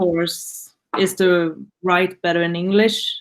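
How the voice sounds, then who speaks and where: Speaking with a Swedish accent, a woman uses a medium pitch. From Sweden, Gothenburg. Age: 20s. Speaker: student. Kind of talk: class introduction. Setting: video call.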